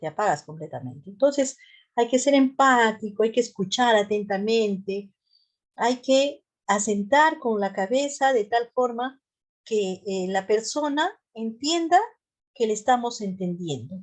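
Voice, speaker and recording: Against a quiet background, a woman with a Peruvian Central Highlands accent speaks at a fairly slow pace. Her pitch is fairly high and her intonation lively. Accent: Peruvian Central Highlands tone. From Peru, Central Highlands. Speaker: nurse and mental health lecturer. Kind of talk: lecture.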